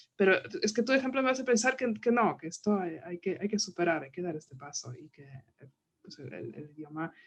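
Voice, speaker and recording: Speaking with a non-native accent, a woman moves at a fairly quick pace with very wide pitch swings. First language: not Spanish (speaking Spanish). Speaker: book club moderator. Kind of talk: book club conversation.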